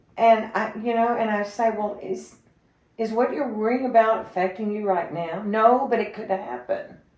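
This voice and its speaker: Heard with audible room echo, a woman talks fairly slowly in a fairly high pitch with fairly even intonation. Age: 70s. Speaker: interview guest. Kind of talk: casual interview conversation.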